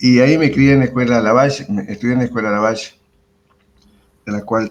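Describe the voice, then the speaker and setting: Moving at a fairly quick pace, a man's voice shows ordinary pitch variation. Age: 60s. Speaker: retired history teacher. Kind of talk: interview. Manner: hesitant, many fillers.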